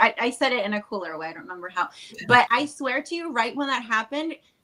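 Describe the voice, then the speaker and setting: A woman with a Spanish accent speaks at a fairly quick pace in a high voice. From Chile. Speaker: wedding officiant. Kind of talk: podcast interview. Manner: casual, filler-heavy.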